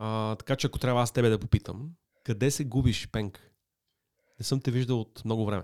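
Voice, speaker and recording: A man talks at a moderate pace in a plain, everyday voice, medium in pitch, with fairly even intonation. The recording is very clean with a silent background and a dry, close sound with no echo. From Sofia, Bulgaria. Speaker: digital media executive. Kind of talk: interview.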